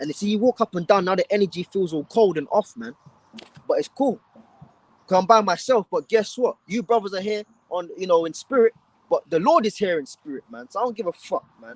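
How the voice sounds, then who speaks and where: Shouting at a fairly quick pace, a man with a high pitch sounds animated in a dry, close recording with no echo. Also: lively intonation, big swings in loudness. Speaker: street preacher. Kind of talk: live street preaching stream.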